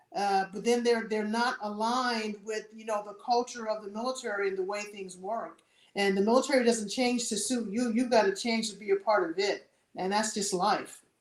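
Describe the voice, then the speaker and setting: With an American accent, a woman uses an ordinary speaking voice at a moderate pace and fairly high pitch. Her intonation is fairly even, though her loudness swings a lot. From US South, New Orleans, Louisiana. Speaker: retired air force senior enlisted leader. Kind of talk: interview.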